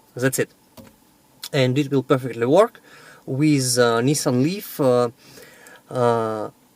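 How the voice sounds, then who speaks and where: A man with a Russian accent speaks at a fairly high pitch. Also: dry, close sound with no echo. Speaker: electric car owner and battery seller. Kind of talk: video vlog and sales pitch. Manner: halting with many fillers.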